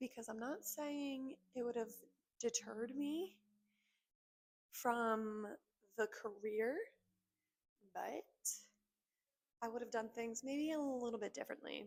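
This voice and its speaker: Speaking quietly in an American accent, a woman with a high voice talks at a fairly slow pace, using ordinary pitch variation and leaving long, frequent pauses. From North Jersey, US. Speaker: esthetician. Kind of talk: casual vlog talk. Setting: at work.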